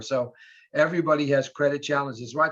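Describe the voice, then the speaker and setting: A man speaks at a fairly quick pace with a fairly high pitch. The background is quiet. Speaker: mortgage lender. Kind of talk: webinar presentation. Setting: video call. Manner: fast.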